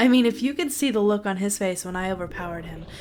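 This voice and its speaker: A woman talks while music plays in the background. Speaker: storyteller. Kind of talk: dramatic story reading.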